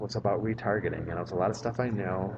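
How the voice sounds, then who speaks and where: A man with a medium-pitched, soft-spoken voice talks at a very fast pace. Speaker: vlogger and marketing strategist. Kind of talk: casual vlog monologue. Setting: public library. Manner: soft-spoken, voice kept down; filler-heavy, repetitive.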